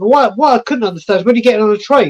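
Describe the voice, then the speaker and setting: A man speaks at a very fast pace in an English accent. His pitch is extremely high, with ordinary variation. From England. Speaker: football fan channel creator. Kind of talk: casual chat.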